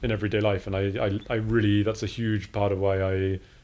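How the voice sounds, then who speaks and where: With a British accent, a man talks at a very fast pace in a monotone, flat intonation. His fairly low pitch has a dark, mellow tone. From England. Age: 40s. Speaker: art academy director. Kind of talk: casual interview.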